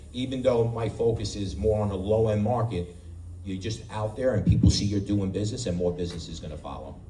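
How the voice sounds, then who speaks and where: A man with an American accent, fairly low pitch and ordinary pitch variation at a fairly quick pace, with audible room echo. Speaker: real estate agent. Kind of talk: panel talk to audience. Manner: halting.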